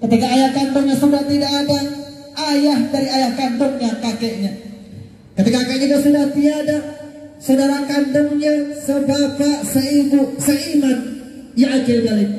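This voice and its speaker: Over noticeable background noise, a man speaks at an extremely high pitch with monotone, flat intonation. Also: moderate pace. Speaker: Islamic preacher. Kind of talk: Eid sermon from a pulpit.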